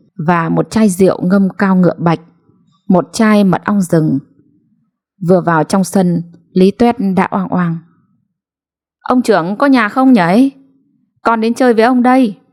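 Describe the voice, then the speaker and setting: Very slow and broken by long, frequent pauses, a woman's medium-pitched voice has lively intonation and very even loudness in a dry, close sound with no echo. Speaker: story narrator. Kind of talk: late-night read story.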